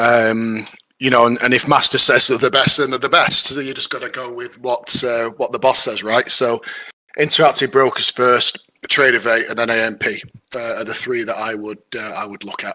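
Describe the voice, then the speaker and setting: With a northern English accent, a man speaks at medium pitch and moderate pace, his intonation monotone and flat and his loudness swinging widely. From northern England. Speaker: trading student. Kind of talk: casual chat.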